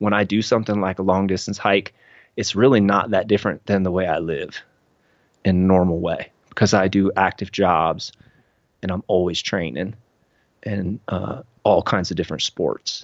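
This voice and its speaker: A man with an American accent speaks at a moderate pace. He has an ordinary speaking voice with a fairly low pitch. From Cincinnati, Ohio, US. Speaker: hiker and artist. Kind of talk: casual interview chat.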